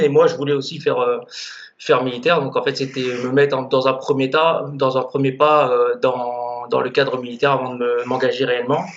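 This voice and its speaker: Noticeable background noise behind a moderately paced, medium-pitched male voice. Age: 20s. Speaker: bodybuilder. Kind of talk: casual interview.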